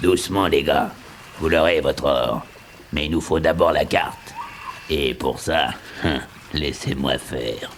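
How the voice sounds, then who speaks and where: A man speaks in a put-on character voice at a fairly slow pace, with long, frequent pauses. Clear background noise runs underneath. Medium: audio drama. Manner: hearty, laughing.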